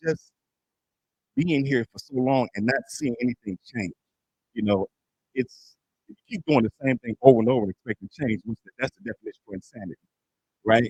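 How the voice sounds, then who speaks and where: Long, frequent pauses and big swings in loudness mark this man's speech, which sits at a medium pitch with ordinary pitch variation in a dry, close sound with no echo. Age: 60s. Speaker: small business advisor. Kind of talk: community meeting speech.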